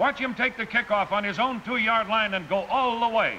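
A raised, projected voice at a fairly quick pace with fairly even intonation over loud background noise. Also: man. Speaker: sports broadcaster. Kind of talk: sports newsreel voice-over. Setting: vintage 1950s film audio. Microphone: old recording.

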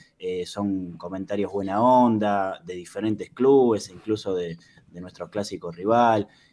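Dark and mellow, a man's fairly low voice moves at a fairly slow pace with ordinary pitch variation. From Argentina. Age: 30s. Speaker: YouTuber. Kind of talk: interview. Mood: calm, reflective. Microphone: video call.

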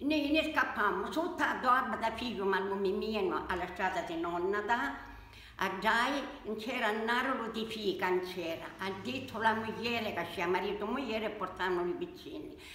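A woman speaks at a fairly slow pace in a fairly high pitch, with audible room echo. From Salento, southern Italy. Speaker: elderly local woman interviewed. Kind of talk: interview answer, wartime memories. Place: home room. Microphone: phone near.

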